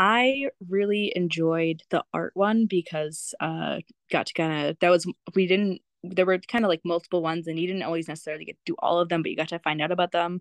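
Dry and close with no echo, a woman in an unremarkable speaking voice talks at a fairly quick pace and a fairly low pitch with ordinary pitch variation. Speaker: adoptee and opera student. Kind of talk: casual interview.

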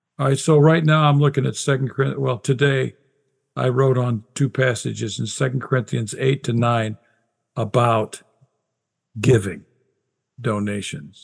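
A man talks at a moderate pace, somewhat breathy. He leaves long, frequent pauses. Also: medium pitch for a man, ordinary pitch variation. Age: 60s. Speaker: Bible scholar and author. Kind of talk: casual interview conversation.

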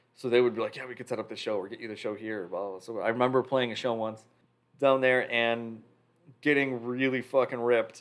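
This man has a medium pitch, an American accent, monotone, flat intonation and big swings in loudness. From Chicago area, Illinois. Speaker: drummer. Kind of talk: casual chat.

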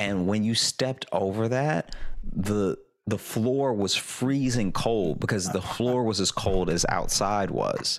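This man speaks at a very slow pace in a fairly low pitch. His loudness stays very even throughout. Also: ordinary pitch variation. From Louisiana. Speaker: comedian. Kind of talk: casual chat. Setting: video call.

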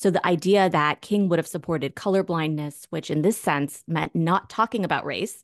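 The recording has a quiet background and a dry, close sound with no echo. A woman with an ordinary speaking voice talks at a moderate pace and a fairly low pitch. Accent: American. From US, Northern Virginia. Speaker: sociology professor, author. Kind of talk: interview.

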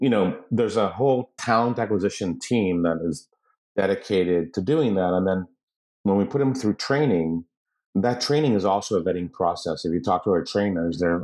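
Talking at a fairly quick pace, a man with a fairly low pitch has a plain, everyday voice. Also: quiet background. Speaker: company founder and COO. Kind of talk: casual interview chat.

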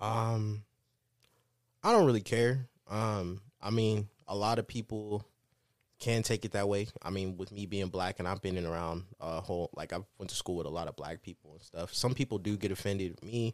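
In a very clean recording with a silent background and a dry, close sound with no echo, a man with a normal speaking voice and an American accent talks at a moderate pace, his fairly low pitch carrying fairly even intonation and big swings in loudness. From US Midwest, Kansas City, Missouri. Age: 20s. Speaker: podcast co-host. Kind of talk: casual chat.

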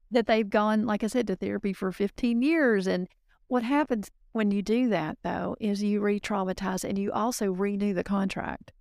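Recorded with a dry, close sound with no echo and a very clean, silent background, a woman speaks at a moderate pace and medium pitch with ordinary pitch variation. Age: 50s. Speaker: business consultant and coach. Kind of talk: interview.

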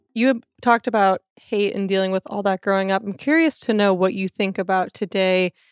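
A plain, everyday voice from a woman, medium in pitch with ordinary pitch variation, at a fairly quick pace, dry and close with no echo, in a very clean recording over a silent background. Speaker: podcast host. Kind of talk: casual interview chat.

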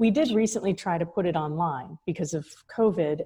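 Talking at a fairly quick pace, a woman with a fairly low pitch has a somewhat breathy, dark, mellow voice and ordinary pitch variation. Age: 40s. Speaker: college founder and president. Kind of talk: casual interview chat.

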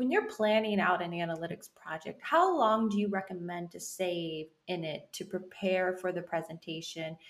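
A woman with an unremarkable speaking voice talks at a moderate pace and medium pitch. Her intonation stays fairly even in a very clean recording with a silent background. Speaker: podcast host. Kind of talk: interview conversation.

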